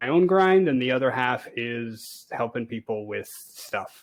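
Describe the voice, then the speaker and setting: At a fairly slow pace, a man with an American accent speaks at a medium pitch with ordinary pitch variation. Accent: sounds American. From Canada. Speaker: space engineer and game streamer. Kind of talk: casual interview chat. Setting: voice call over internet. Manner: hesitant, many fillers.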